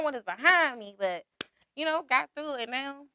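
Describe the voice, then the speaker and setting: A woman's bright, sharp voice at a fairly quick pace, dry and close with no echo. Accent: American. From Washington DC, Southeast. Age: 20s. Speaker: rapper. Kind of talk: interview.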